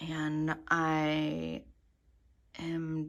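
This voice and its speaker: A woman whispers. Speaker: fiber artist and illustrator. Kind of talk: casual studio tour vlog. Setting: home studio. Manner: hesitant, many fillers; whispering.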